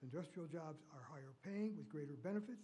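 Audible room echo surrounds a man with an American accent whose dark, mellow tone carries lively intonation. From US Midwest. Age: 80s+. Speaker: public commenter. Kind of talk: public comment at council meeting. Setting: city council meeting.

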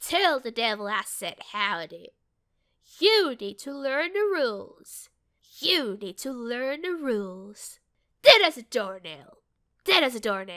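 This put-on character voice moves at a fairly slow pace with very wide pitch swings. The recording is very clean, with a silent background. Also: woman, high pitch for a woman. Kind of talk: game character audition lines.

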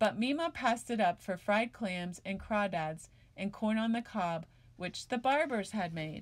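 The speaker uses a natural reading voice.

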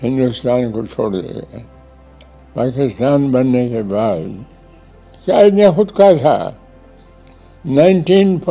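Faint music plays in the background as a man talks with big swings in loudness. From Pakistan. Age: 80s+. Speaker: retired civil servant and politician. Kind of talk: interview answer. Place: home room. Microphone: lapel.

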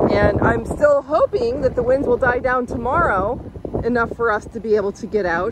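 Loud background noise sits under speech at a moderate pace, with a dry sound and no echo. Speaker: sailing vlogger. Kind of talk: casual vlog chat. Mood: concerned, hopeful. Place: waterside. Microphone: phone near.

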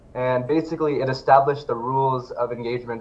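This man's fairly even delivery carries a somewhat breathy quality. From Indian background. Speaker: advocacy researcher; guest. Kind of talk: interview. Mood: earnest, advocating. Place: home room. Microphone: video call.

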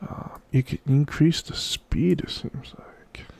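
A whisper at a very slow pace, relaxed in tone. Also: man. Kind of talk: casual software walkthrough narration. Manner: casual, relaxed.

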